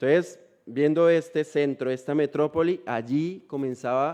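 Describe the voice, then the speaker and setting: The tone is dark and mellow. It comes from a man. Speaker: missionary preacher. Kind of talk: sermon. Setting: church.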